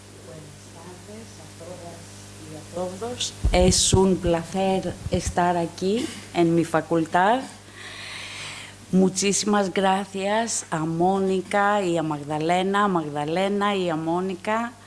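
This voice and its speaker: With a Greek accent, a woman speaks at a very slow pace and fairly low pitch, with ordinary pitch variation and big swings in loudness, amid noticeable background noise and audible room echo. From Greece. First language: Greek (speaking Spanish). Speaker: professor. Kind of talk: lecture. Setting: lecture hall with audience. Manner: halting, many fillers.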